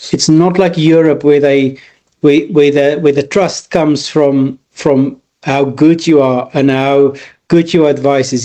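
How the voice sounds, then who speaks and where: A man with an Afrikaans South African accent, fairly high in pitch, with a dark, mellow tone, fairly even intonation and a moderate pace. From rural South Africa. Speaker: business consultant. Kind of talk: interview. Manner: halting, many repeated words.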